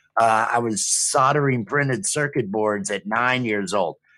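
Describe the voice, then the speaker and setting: A man with an American accent speaks at a fairly slow pace in an ordinary speaking voice, at a medium pitch with ordinary pitch variation, on a very clean recording with a silent background. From US Midwest, Rockford, Illinois. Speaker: streaming show co-host. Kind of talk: casual chat.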